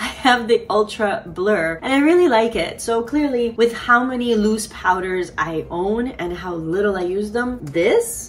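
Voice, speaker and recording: A woman's fairly high voice swings very widely in pitch, heard over noticeable background noise. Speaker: beauty YouTuber. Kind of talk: casual chat.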